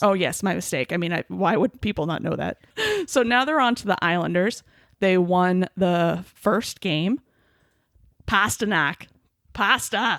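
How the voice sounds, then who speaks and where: With an enthusiastic, animated tone, a woman speaks at a medium pitch and fairly slow pace, using lively intonation, vocal fry, and long, frequent pauses, in a dry, close sound with no echo on a very clean recording with a silent background. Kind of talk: casual podcast conversation.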